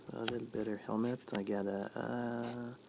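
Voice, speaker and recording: Fairly low pitch from a man, with fairly even intonation and noticeable background noise. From Quebec, Canada. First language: French. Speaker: gaming streamer. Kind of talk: live gameplay stream commentary. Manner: casual with frequent hesitations.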